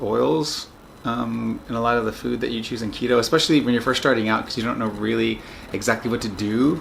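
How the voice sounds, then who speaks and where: A man rattles along at a very fast pace with ordinary pitch variation, amid noticeable background noise. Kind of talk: casual video diary talk to camera. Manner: hesitant, many filler words.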